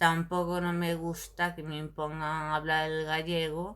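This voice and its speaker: The woman's voice sits at a very deep, low pitch. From Galicia, Spain. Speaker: video blogger. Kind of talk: casual monologue to camera. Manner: animated.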